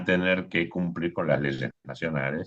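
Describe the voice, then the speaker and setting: A man talks with vocal fry. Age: 60s. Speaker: electoral official. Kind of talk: panel talk.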